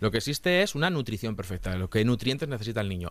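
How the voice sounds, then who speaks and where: A man speaks with very wide pitch swings. His voice has vocal fry. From Castilla-La Mancha, Spain. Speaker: nutritionist, podcast host. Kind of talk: casual interview chat.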